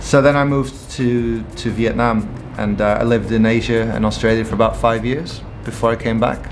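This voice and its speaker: A medium-pitched man with a slight English accent, fairly quick and fairly even in intonation, with audible room echo and music in the background. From Portugal. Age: 30s. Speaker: entrepreneur. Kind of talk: interview.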